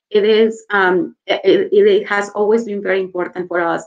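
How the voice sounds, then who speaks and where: A woman speaks with a Mexican accent. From Mexico. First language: Spanish. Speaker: corporate HR executive. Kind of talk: interview. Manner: hesitant, many fillers.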